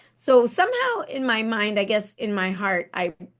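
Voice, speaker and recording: A woman speaks with a Spanish accent. Her pitch is fairly high and her pace is moderate. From Panama, then Texas from age 11-12. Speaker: architect and accessibility consultant. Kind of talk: interview. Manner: halting, many fillers and restarts.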